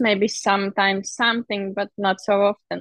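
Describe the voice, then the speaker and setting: A woman with a Latvian accent and monotone, flat intonation at a fairly slow pace, in a dry, close sound with no echo. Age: 30s. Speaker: heptathlete. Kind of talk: interview. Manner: halting.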